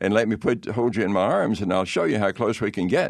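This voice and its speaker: This man has a Southern US accent and a fairly low pitch. He talks at a fairly quick pace. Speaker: pastor. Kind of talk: interview testimony. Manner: halting.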